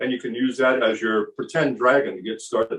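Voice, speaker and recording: Here is a man with an ordinary speaking voice at medium pitch. His intonation is fairly even. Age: 60s. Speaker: kung fu teacher. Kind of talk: casual chat.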